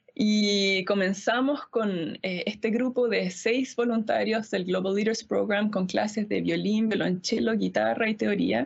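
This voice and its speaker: A woman speaks in an unremarkable speaking voice at a medium pitch, with ordinary pitch variation. Her loudness stays very even at a fairly slow pace. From Easter Island (Rapa Nui), Chile. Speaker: pianist and music school director. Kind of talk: panel discussion.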